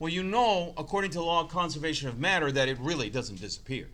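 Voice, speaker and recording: A bright, sharp tone carries lively intonation. Audible room echo surrounds the voice. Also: man. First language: not English. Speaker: chemistry teacher. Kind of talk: lecture.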